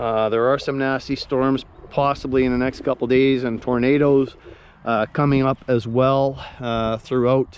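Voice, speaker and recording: Speaking at a fairly slow pace, a man keeps his intonation monotone and flat. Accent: Canadian. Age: 60s. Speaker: outdoors vlogger. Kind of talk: casual vlog talk while walking. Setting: outdoors on a nature walk.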